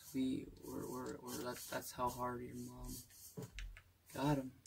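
The pace is fairly slow. Light background noise can be heard. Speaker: gamer. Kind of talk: casual gameplay commentary. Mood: playful, goofy. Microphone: phone near.

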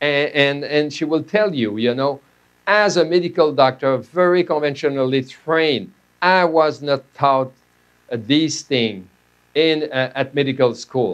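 Speaking with a Quebec French accent, a man talks at a fairly slow pace with a fairly high pitch and ordinary pitch variation. The background is quiet. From Quebec, Canada. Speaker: medical doctor and professor; presenter. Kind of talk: lecture. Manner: halting. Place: studio.

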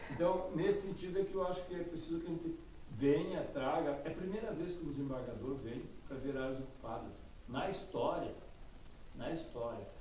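Audible room echo, lively intonation, a fairly quick pace and light background noise. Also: man, high pitch for a man. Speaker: state legislator, politician. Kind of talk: casual interview. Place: studio.

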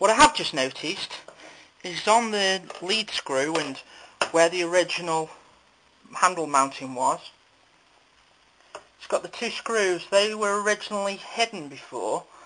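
A man speaks in a raised, projected voice at a fairly slow pace, with long, frequent pauses. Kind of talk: tutorial. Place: workshop. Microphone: phone near.

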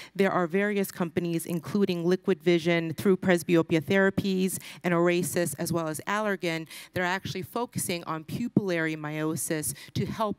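A woman's normal speaking voice, fairly low in pitch with ordinary variation, at a moderate pace, dry with no echo over a quiet background. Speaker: presenter. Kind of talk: conference presentation. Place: hall.

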